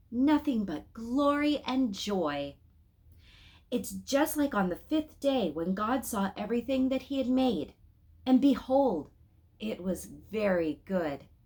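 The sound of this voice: Using a put-on character voice, a woman speaks slowly at a fairly high pitch with big pitch swings and a slightly mellow tone.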